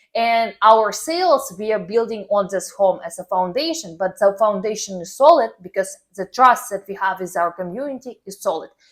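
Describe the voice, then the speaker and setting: A woman with a non-native accent talks with hardly any pauses. Her intonation is lively, and her loudness swings widely. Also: medium pitch for a woman, moderate pace. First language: not English. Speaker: personal branding coach. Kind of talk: tutorial. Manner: casual, filler-heavy.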